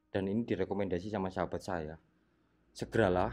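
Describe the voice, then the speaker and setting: A man with a very deep, low pitch against a quiet background. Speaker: ghost-hunting explorer vlogger. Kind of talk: on-location exploration vlog. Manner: quiet, low voice.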